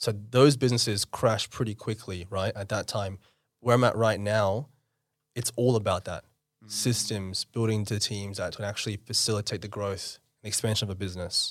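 With an Australian accent, a man speaks at a moderate pace in a fairly low pitch and with fairly even intonation. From Australia (Western Sydney), born in India. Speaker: entrepreneur. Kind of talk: casual interview.

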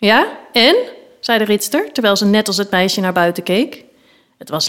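The voice is a natural reading voice, and its pitch varies in an ordinary way.

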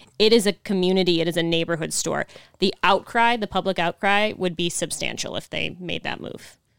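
In an American accent, a woman talks at a fairly quick pace with a fairly low pitch, fairly even intonation and vocal fry. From Buffalo, New York. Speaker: union organizer and barista. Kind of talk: casual interview.

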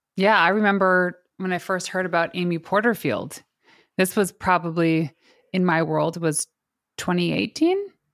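In an ordinary speaking voice, a woman with a fairly low pitch speaks at a moderate pace and fairly even intonation, in a very clean recording with a silent background. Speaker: podcast host and PR expert. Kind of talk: casual interview chat.

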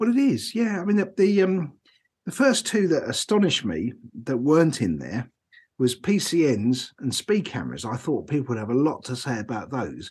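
Somewhat breathy, a man with a fairly high pitch talks at a moderate pace using very wide pitch swings. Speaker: podcast host, driver recruiter. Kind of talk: casual chat. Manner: hesitant, repeats words.

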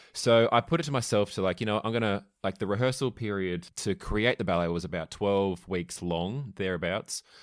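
A man with an Australian accent speaks at a moderate pace, his pitch fairly low and its variation ordinary. He leaves hardly any pauses, and the recording is very clean with a silent background. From Australia, small country town (Victoria). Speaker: ballet dancer. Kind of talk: casual chat.

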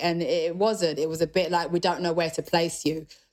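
This woman speaks with a British accent at a moderate pace, using ordinary pitch variation. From UK. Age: young. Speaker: rock musician. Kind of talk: interview. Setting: video call.

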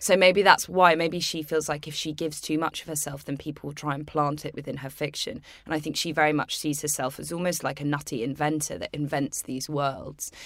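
In a British accent, a woman with a very deep, low pitch talks at a fairly quick pace with fairly even intonation and hardly any pauses. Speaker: podcast host. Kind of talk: casual chat.

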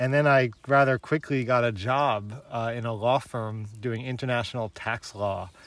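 An unremarkable speaking voice moves at a moderate pace with fairly even intonation, on a very clean recording with a silent background. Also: man, medium pitch for a man. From New York City, Queens. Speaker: film critic and producer. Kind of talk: casual chat. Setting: outdoors.

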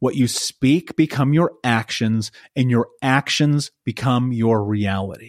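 In an American accent, a man speaks very slowly at a medium pitch with ordinary pitch variation and very even loudness, the sound dry and close with no echo. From US. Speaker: life coach. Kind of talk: interview. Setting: remote call. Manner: intense.

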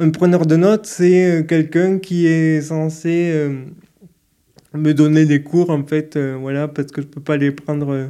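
Here a man speaks at a very slow pace with fairly even intonation. His pitch is fairly high and his tone dark and mellow. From Toulouse, southern France. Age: 30s. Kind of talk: interview. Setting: hotel room. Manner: hesitant, many fillers.

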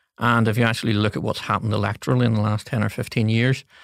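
A man with a Northern Irish accent speaks in a fairly low, flat monotone, recorded dry and close with no echo and a very clean, silent background. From Northern Ireland, Coleraine. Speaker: political advisor. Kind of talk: interview. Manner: hesitant with fillers.

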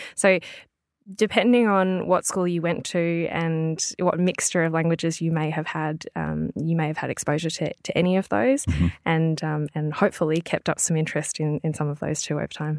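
In an Australian accent, a woman with a fairly low pitch speaks at a moderate pace with ordinary pitch variation, recorded dry and close with no echo in a very clean take with a silent background. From Melbourne, Australia. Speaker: language business owner and podcaster. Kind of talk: interview. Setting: studio.

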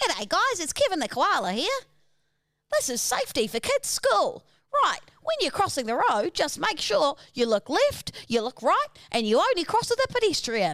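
Delivered at a moderate pace, a cartoonish character voice sits at an extremely high pitch. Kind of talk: cartoonish children's safety presenter.

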